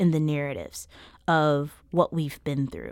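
Heard on a very clean recording with a silent background, a woman with an American accent speaks at a very deep, low pitch. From US South, rural Mississippi. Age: 30s. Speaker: artist and activist. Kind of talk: interview. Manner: halting, self-repeating.

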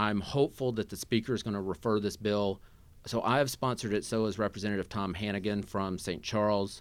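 In an unremarkable speaking voice with an American accent, a man talks at a fairly quick pace with a fairly low pitch and fairly even intonation on a very clean recording with a silent background. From Southeast Missouri. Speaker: state legislator. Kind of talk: political interview. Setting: studio.

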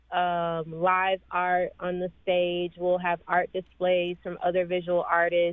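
A woman speaks very slowly with an American accent. Her pitch is medium. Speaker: event organizer. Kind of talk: radio interview. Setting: phone call. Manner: casual, frequent fillers.

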